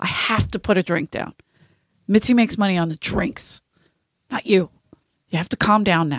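A woman speaks at a medium pitch with long, frequent pauses. The recording sounds dry and close, with no echo. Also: ordinary pitch variation, moderate pace. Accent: Philadelphia. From South Philadelphia. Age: 40s. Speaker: podcast host, comedian. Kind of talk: casual chat.

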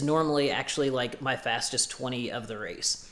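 Against noticeable background noise, a man with an American accent speaks at a medium pitch with fairly even intonation. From US Midwest, Illinois. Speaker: ultrarunner. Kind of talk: casual interview. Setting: in person, sitting together.

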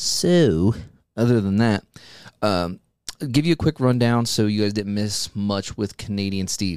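A man's fairly low voice at a fairly slow pace, with ordinary pitch variation, in a very clean recording with a silent background. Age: 30s. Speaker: podcast host, haunted house actor. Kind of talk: solo casual update. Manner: hesitant, many fillers.

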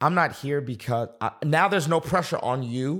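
Speaking with an American accent at a moderate pace, this voice has an animated tone and ordinary pitch variation, on a very clean recording with a silent background. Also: man. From Boston, US. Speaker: pastor. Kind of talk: podcast interview.

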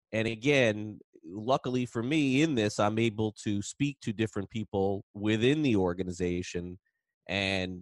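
A man speaks with a plain, everyday voice at a medium pitch, with ordinary pitch variation. The sound is dry and close with no echo against a quiet background. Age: 40s. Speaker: baseball podcast host. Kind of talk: casual chat.

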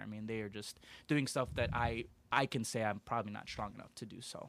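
A man with a fairly low pitch and an American accent talks at a fairly quick pace in a very clean recording with a silent background. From Aurora, Illinois, US Midwest. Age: 30s. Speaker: youth services worker. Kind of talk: interview. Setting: studio.

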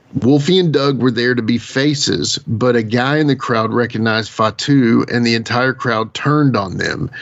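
A man of medium pitch talks at a moderate pace with hardly any pauses and ordinary pitch variation. His loudness stays very even over noticeable background noise. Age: 40s. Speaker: podcast co-host. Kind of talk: casual interview chat.

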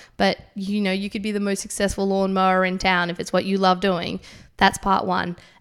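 An Australian accent at a fairly quick pace, monotone and flat, on a very clean recording with a silent background. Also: woman, medium pitch for a woman. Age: 20s. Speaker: CrossFit athlete. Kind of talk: interview. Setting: studio.

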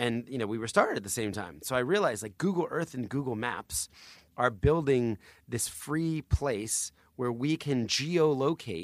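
Heard in a very clean recording with a silent background, a man in a normal speaking voice talks at a moderate pace with lively intonation. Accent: American. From New Jersey. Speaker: charity founder and author. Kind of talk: interview storytelling.

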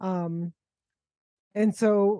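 Against a quiet background, a woman with an unremarkable speaking voice talks at medium pitch with ordinary pitch variation, in a dry, close sound with no echo. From US-born Mexican-American, raised partly in Acapulco. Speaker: author and academic. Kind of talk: casual interview chat. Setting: video call.

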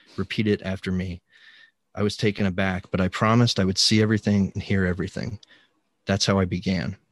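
A man talks at a very fast pace in a fairly low pitch with monotone, flat intonation. The sound is dry and close, with no echo. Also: quiet background. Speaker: podcast host. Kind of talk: casual chat. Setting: recorded remotely, home basement.

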